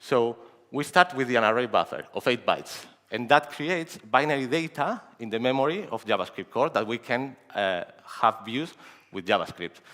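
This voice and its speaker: A man's medium-pitched voice has a bright, sharp tone and lively intonation. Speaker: security researcher. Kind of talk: conference talk. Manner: fast.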